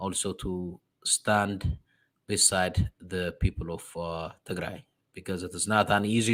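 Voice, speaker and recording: In a very clean recording with a silent background, a man speaks at a fairly low pitch with fairly even intonation. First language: Amharic. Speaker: diaspora religious program host. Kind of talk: sermon-like address. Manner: halting.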